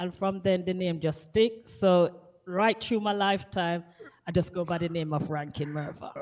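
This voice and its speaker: A woman speaks with a Jamaican accent in a fairly low pitch. Her pace is moderate and her pitch varies in an ordinary way. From Jamaica, Kingston. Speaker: radio DJ. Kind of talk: interview.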